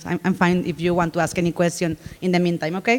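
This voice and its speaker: This is a woman speaking. She talks with a Spanish accent. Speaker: conference speaker. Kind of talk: conference talk. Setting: stage with audience.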